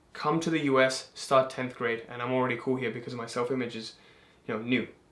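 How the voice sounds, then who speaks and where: An animated man at a medium pitch and fairly quick pace, with audible room echo. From England. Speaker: manifestation content creator. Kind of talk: casual chat.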